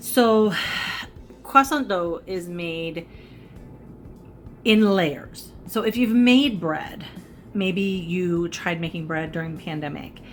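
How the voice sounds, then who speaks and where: Over faint music in the background, a woman speaks very slowly in a fairly low pitch, with long, frequent pauses and big swings in loudness. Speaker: cooking and makeup vlogger; makeup vlogger. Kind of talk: casual cooking tutorial. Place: home room. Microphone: phone near.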